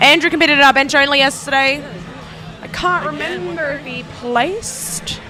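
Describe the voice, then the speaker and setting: A woman's raised, projected voice, high in pitch, with very wide pitch swings and big shifts in loudness, over background music and audible room echo. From South Australia. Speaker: powerlifting meet commentator. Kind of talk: live commentary. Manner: casual, conversational.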